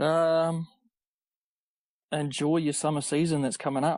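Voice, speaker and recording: Against a quiet background, a man with a New Zealand accent speaks in a monotone, flat intonation. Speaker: amateur triathlete. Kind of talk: casual interview chat.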